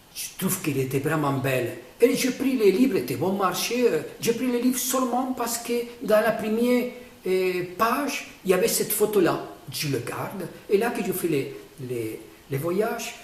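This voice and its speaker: Speaking at a moderate pace with a non-native accent, a man with a high pitch makes very wide pitch swings, with audible room echo and noticeable background noise around him. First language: not French (speaking French). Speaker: painter explaining his own artwork. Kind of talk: casual explanation of a painting. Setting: artist's studio. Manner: halting, many hesitations.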